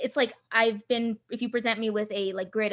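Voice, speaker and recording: The speaker has an American accent and talks at a very fast pace. The intonation is monotone and flat, and the sound is dry and close with no echo. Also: woman. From Southern California, Filipino diaspora. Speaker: tabletop game designer. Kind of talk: interview. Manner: halting, many fillers and restarts.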